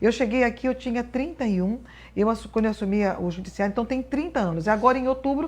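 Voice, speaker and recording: Against a quiet background, a woman talks at a very fast pace in a fairly high pitch with ordinary pitch variation. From Brazil, northern Paraná. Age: 60s. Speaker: appellate judge. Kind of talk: interview.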